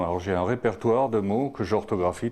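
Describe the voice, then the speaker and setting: Here a man speaks at a moderate pace. His voice is fairly low with lively intonation. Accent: Alsatian. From Alsace, France. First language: Alsatian (speaking French). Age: old. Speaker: translator. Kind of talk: interview. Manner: halting, many hesitations.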